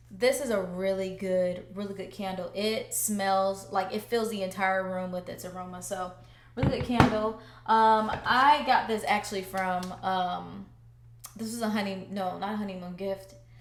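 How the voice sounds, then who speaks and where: Amid noticeable background noise and audible room echo, a woman speaks at a moderate pace with a medium pitch and ordinary pitch variation. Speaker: home decor vlogger. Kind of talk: casual vlog talk to camera.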